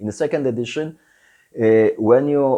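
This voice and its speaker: A man with a Polish accent, dark and mellow in tone, at a moderate pace with ordinary pitch variation against a quiet background. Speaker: tabletop game designer and YouTuber. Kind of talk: Q&A video. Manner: halting, many fillers.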